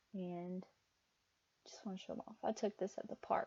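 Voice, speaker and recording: A woman speaks in a dark, mellow tone. Her accent is slightly Southern US. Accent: southern, mild. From US South. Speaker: crochet and knitting podcaster. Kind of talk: casual chat. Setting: home, seated at desk. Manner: halting, many fillers.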